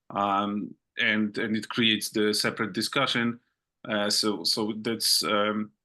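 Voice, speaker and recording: Over a quiet background, a man with a non-native accent speaks in a bright, sharp tone, monotone and flat, his loudness very even. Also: fairly low pitch for a man, fairly slow pace. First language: not English. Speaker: open source project meeting chair. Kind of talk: online work meeting. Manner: halting, many fillers and repetitions.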